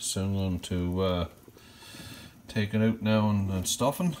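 A man with a Newfoundland accent, fairly low in pitch, at a fairly slow pace over light background noise. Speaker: YouTuber, home cook and hunter; YouTuber. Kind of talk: casual vlog cooking tutorial. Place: kitchen. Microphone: phone near.

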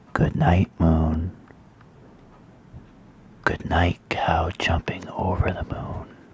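Whispering comes at a very slow pace. Long pauses break it up often. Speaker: reader. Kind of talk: read-aloud bedtime story. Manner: soft-spoken. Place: home room. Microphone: phone near.

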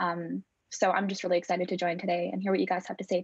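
This woman speaks at a very fast clip with vocal fry and a flat, monotone delivery. The sound is dry with no echo, and the background is quiet. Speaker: guest. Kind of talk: self-introduction on a video call. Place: home room. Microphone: earbuds.

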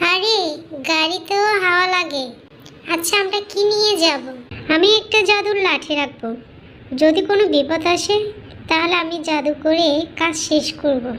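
A cartoonish character voice, female-sounding, at an extremely high pitch and a fairly slow pace, with clear background noise. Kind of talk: comic cartoon voice.

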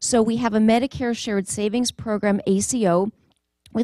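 A woman talks at a moderate pace with fairly even intonation. The background is quiet, and the sound is dry with no echo. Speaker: presenter. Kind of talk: conference talk. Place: hall. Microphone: handheld.

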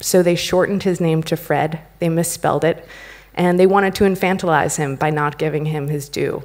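Against a quiet background, a woman with an American accent has an unremarkable speaking voice, a fairly low pitch and a moderate pace. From United States. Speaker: company founder and CEO; conference speaker. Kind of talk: conference talk. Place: stage. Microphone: podium.

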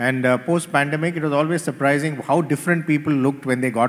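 The delivery is very fast, with ordinary pitch variation. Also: man. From India, Chennai; India. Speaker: corporate executive, panelist; panelist. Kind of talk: panel discussion. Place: stage. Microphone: handheld.

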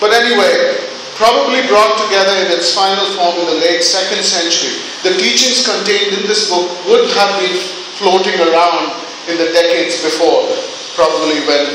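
A man speaks at a moderate pace and a high pitch, with ordinary pitch variation. Noticeable background noise and strong room echo fill the recording. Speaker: preacher. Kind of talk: sermon. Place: church.

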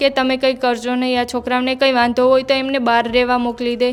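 A woman is speaking. Her voice is high in pitch. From Gujarat, Devbhumi Dwarka district (Bhanvad taluka). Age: 20s. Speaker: interviewee, widow seeking justice. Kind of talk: testimony.

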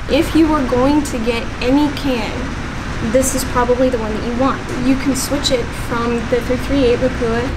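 Loud background noise runs beneath speech at a moderate pace. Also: woman. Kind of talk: product review explanation. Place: shop.

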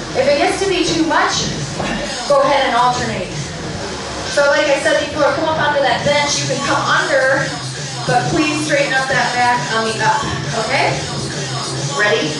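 A woman talks at a moderate pace, leaving long, frequent pauses. Noticeable background noise and strong room echo surround her voice. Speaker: fitness instructor. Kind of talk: class cueing instructions. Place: gym.

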